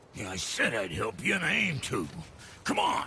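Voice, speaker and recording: A man's raspy put-on character voice at medium pitch, with clear background noise. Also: moderate pace. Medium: video game. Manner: folksy, colloquial.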